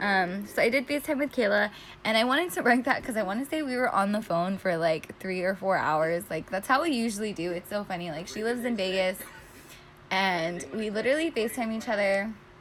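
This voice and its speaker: This woman has an ordinary speaking voice, medium in pitch, with lively intonation. She talks at a fairly quick pace. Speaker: planner YouTuber. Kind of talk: casual tutorial narration. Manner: filler-heavy, chatty.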